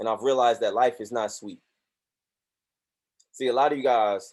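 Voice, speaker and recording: A man speaks in a medium pitch at a fairly quick pace. His tone is animated. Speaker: motivational speaker and trading group leader. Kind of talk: motivational talk on a group call. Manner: loud.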